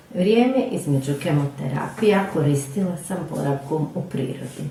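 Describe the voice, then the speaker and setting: A woman's lively, up-and-down delivery at a moderate pace, with audible room echo and noticeable background noise. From Croatia, Rijeka. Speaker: knitting teacher. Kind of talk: personal testimony. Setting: pre-recorded video.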